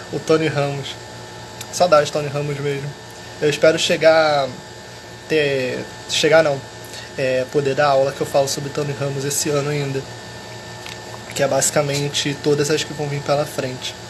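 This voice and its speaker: A soft-spoken man talks at a fairly high pitch with monotone, flat intonation, a moderate pace, and long, frequent pauses. Noticeable background noise and audible room echo are present. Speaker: history teacher. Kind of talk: live stream chat.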